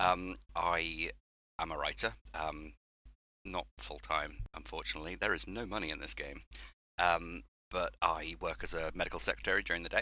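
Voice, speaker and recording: A man's very deep, low voice with a bright, sharp tone, vocal fry, very wide pitch swings, an English accent, a moderate pace and long, frequent pauses. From southwest England. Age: 30s. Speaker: horror author. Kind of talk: podcast interview.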